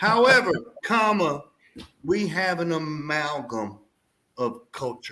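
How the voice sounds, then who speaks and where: A man with a Texas accent and a fairly high pitch talks at a very slow pace, with very wide pitch swings and long, frequent pauses. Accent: Texas twang. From Southeast Texas (Houston). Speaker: navy veteran, aquarium hobby show host. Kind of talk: casual chat. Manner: animated.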